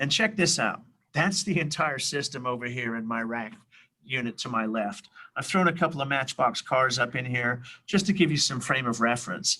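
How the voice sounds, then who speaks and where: In a very clean recording with a silent background, a man with a bright, sharp tone talks at a moderate pace with lively intonation. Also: medium pitch for a man. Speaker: tech product presenter. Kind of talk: product demo. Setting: workshop.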